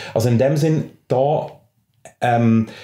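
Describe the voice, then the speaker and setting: Someone with a Swiss accent speaks with fairly even intonation. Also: man. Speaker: teacher and freethinker association vice-president. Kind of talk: podcast interview answer.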